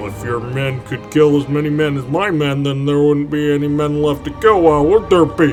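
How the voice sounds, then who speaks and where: Clear music plays in the background as a man uses a put-on character voice. His pitch is fairly high and his pace moderate. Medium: machinima. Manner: casual, whiny, slangy.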